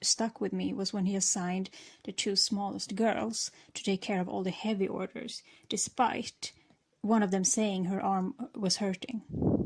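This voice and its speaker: A woman with a non-native accent speaks at a medium pitch and a fairly slow pace. Her somewhat breathy voice stays fairly even in intonation. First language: not English. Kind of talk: storytime talk while gaming.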